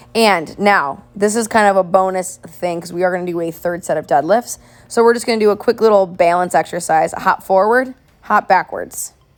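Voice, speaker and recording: The woman's voice sits at a medium pitch. Her pitch varies in an ordinary way. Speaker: fitness coach. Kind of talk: workout instruction. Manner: fast when excited.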